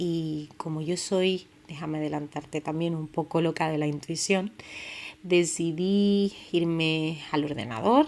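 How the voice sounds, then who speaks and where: Speaking at a fairly slow pace, a woman has a fairly low voice with ordinary pitch variation. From Canary Islands, Tenerife. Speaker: podcast host. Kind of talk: personal storytelling podcast. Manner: casual, with many fillers.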